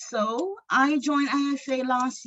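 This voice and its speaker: A somewhat breathy woman with a Jamaican accent. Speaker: aspiring filmmaker and screenwriter. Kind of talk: self-introduction at a meeting.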